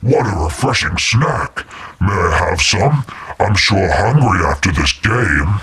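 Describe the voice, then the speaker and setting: A man uses a put-on character voice pitched fairly low. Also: fairly slow pace. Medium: solo performance.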